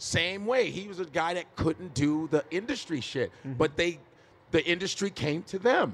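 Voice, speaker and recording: A man with an American accent speaks at a moderate pace. His pitch is high. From Chicago, US. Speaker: stand-up comedian. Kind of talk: live podcast interview. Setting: stage with audience.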